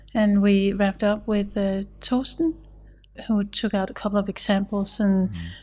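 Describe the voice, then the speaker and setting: This woman has a dark, mellow tone that is somewhat breathy. Her intonation stays fairly even. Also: medium pitch for a woman, moderate pace, very clean recording, silent background. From Denmark. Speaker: pharmacy researcher. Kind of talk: panel discussion.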